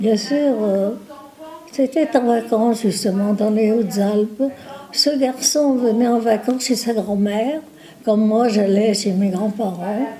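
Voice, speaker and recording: With noticeable background noise behind her, a woman speaks very slowly in a fairly high pitch, keeping very even loudness and ordinary pitch variation. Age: 80s+. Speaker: nursing home resident. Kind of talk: casual chat. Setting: nursing home. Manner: talkative; halting.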